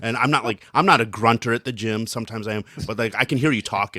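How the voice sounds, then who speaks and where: This man is loud, with a bright, sharp tone at a medium pitch, speaking at a very fast pace. The sound is dry and close with no echo, on a very clean recording with a silent background. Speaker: podcast co-host. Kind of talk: casual chat.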